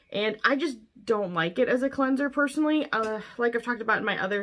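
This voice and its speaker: A woman's normal speaking voice, fairly quick with lively intonation, in a very clean recording with a silent background. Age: 30s. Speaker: beauty vlogger. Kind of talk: product review. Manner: casual, chatty.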